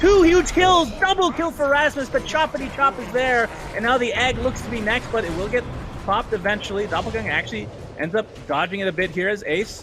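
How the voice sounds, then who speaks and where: Music plays behind a man speaking at an extremely high pitch. He goes at a fairly quick pace with very wide pitch swings. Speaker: esports caster. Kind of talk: live commentary. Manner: fast; animated.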